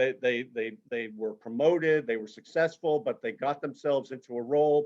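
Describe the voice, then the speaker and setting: This is a man with an unremarkable speaking voice. His pitch is fairly high and varies in an ordinary way. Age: 60s. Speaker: career transition consultant. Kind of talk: webinar presentation. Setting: video call.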